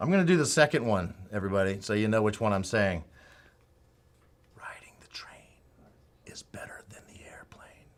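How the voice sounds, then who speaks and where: A man's fairly low voice at a moderate pace, with lively intonation, big swings in loudness and long, frequent pauses. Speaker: live stream host for an electronics retailer. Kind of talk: casual live show chat. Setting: studio.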